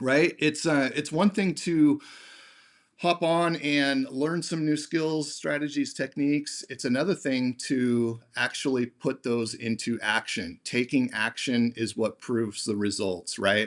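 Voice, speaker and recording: A man talks with a normal speaking voice and lively intonation. His pace is fairly slow, and the background is quiet. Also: fairly high pitch for a man. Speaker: sales trainer hosting a webinar. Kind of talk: webinar presentation. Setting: video call. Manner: many fillers, uh and um.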